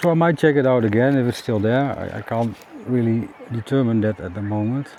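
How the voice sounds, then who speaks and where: Using a Dutch accent, a man speaks at a fairly quick pace in a dark, mellow tone of medium pitch with ordinary pitch variation. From Netherlands. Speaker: kayaking vlogger. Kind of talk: casual vlog monologue. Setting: outdoors on a river in a kayak. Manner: halting, many fillers.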